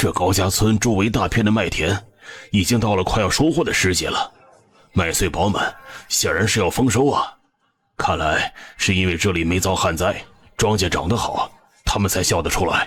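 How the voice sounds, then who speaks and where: Doing a raspy put-on character voice at a fairly low pitch, a man speaks at a moderate pace with long, frequent pauses. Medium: cartoon. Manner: questioning.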